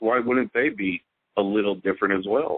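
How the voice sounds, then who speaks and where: At a very fast pace, a man speaks with an American accent. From Houston, Texas. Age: 40s. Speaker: witness sharing an encounter. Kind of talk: casual interview storytelling.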